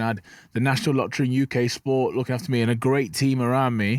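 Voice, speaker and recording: At a very fast pace, a man with an English Midlands accent speaks at medium pitch on a very clean recording with a silent background. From English Midlands, Burton-on-Trent. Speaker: professional boxer. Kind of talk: podcast interview. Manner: fast, some stutter.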